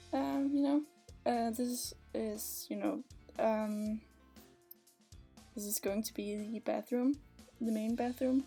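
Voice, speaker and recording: Music plays in the background. The speaker talks at a very slow pace in a Danish accent. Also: woman. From Denmark. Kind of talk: casual voiceover for a game speedbuild. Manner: hesitant, many fillers.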